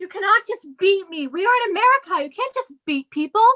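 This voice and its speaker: A squeaky, put-on character voice moves at a fairly quick pace with lively intonation and big swings in loudness. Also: woman, extremely high pitch for a woman. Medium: audio drama.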